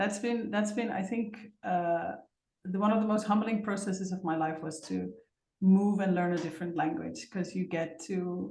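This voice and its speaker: A somewhat breathy woman with a Dutch accent speaks at a medium pitch and moderate pace, with a dark, mellow tone, ordinary pitch variation, and audible room echo. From Netherlands. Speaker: facilitator. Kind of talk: interview.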